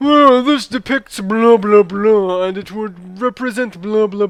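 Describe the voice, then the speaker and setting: A man puts on a high-pitched character voice. He speaks fairly slowly. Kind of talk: pretentious academic.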